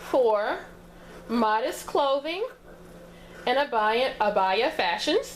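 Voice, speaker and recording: A woman with an American accent speaks at a very slow pace, her pitch swinging very widely. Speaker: sewing tutorial creator. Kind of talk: tutorial. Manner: casual, conversational with fillers.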